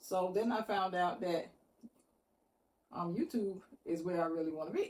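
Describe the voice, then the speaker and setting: A woman's medium-pitched voice with ordinary pitch variation, at a moderate pace. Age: 60s. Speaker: vlogger. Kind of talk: casual personal talk to camera.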